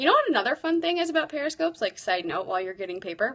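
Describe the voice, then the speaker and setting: An animated tone at a very fast pace, full of very wide pitch swings. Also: woman. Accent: American. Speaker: teacher blogger and livestreamer. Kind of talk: live stream chat.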